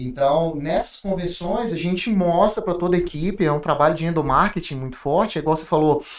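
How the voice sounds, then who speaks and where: Ordinary pitch variation, a fairly quick pace, and hardly any pauses. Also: man, high pitch for a man. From Brasília, Brazil. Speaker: industry manager. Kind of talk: podcast conversation. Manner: halting, frequent repetitions.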